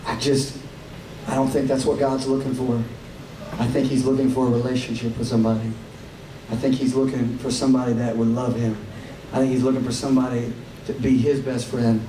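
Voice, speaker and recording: Amid noticeable background noise and audible room echo, a man with a medium pitch and a Southern US accent speaks at a fairly quick pace, with long, frequent pauses. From Tennessee. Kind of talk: stage talk to concert audience. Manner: animated.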